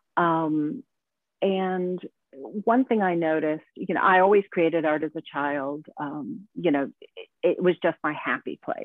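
A woman speaks fairly slowly in a plain, everyday voice, fairly low in pitch, with lively intonation. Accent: American. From United States. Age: 40s. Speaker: artist. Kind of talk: interview conversation.

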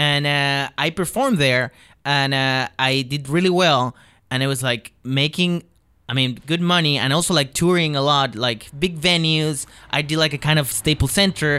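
With a Chilean accent, a man speaks in a fairly high, bright, sharp voice with ordinary pitch variation and very even loudness. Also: moderate pace. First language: Spanish. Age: 20s. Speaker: comedian. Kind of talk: casual chat. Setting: studio.

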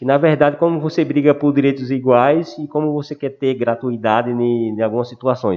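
This is a normal speaking voice at a moderate pace, with fairly even intonation and hardly any pauses. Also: man, medium pitch for a man. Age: 40s. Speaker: wheelchair athlete, sports project co-founder. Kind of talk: casual chat.

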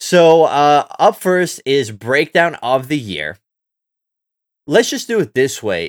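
A man speaks at a slow pace. His pitch makes big swings. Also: very clean recording, silent background.

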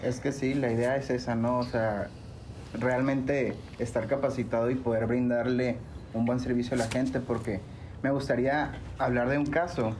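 A man speaks at a moderate pace with monotone, flat intonation and very even loudness. Audible room echo and noticeable background noise surround the voice. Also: medium pitch for a man. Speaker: CBD business owner. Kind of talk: casual interview.

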